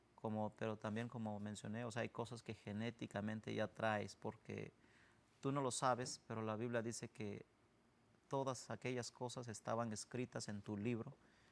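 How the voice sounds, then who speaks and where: A man with an Oaxacan accent speaks at a moderate pace in a medium pitch, his intonation flat and monotone. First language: Zapotec (speaking Spanish). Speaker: missionary. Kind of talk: interview testimony.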